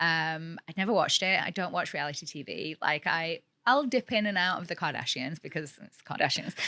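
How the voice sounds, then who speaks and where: The voice is bright and sharp, moving at a fairly quick pace with hardly any pauses, lively intonation and big swings in loudness. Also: woman, fairly low pitch for a woman. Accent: British. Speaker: realtor and former model, reality TV personality. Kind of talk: podcast interview. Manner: fast, filler-heavy (like, you know).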